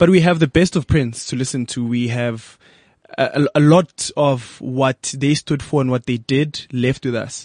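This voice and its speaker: A man's plain, everyday voice, fairly slow, with ordinary pitch variation and a dry, close sound with no echo. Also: medium pitch for a man. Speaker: radio host. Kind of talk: casual interview chat.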